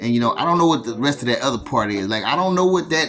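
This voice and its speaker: A man speaks over noticeable background noise. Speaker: spiritual vlogger. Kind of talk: casual monologue vlog. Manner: halting, repetitive stammers.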